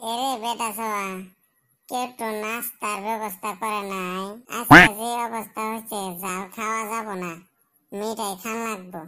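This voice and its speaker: In a cartoonish character voice, a woman speaks at a fairly high pitch and moderate pace with monotone, flat intonation, on a very clean recording with a silent background. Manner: sulky, grumbling.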